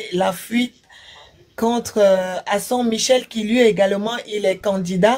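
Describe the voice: This woman has a fairly high, slightly mellow voice. Her intonation stays fairly even.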